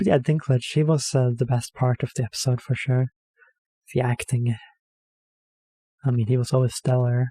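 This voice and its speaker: The tone is dark and mellow, somewhat breathy, with fairly even intonation and long, frequent pauses. The sound is dry and close, with no echo. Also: man, medium pitch for a man, moderate pace, very even loudness. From Norway. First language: Norwegian. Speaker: reaction video creator. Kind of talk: casual commentary. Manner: hesitant, filler-heavy.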